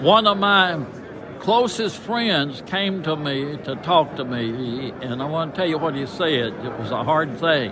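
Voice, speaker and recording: Over noticeable background noise, a man with a Southern US accent and a fairly high pitch talks at a fairly slow pace with lively intonation. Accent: Southern American. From Tennessee. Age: 80s+. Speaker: retired pastor. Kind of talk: personal testimony interview.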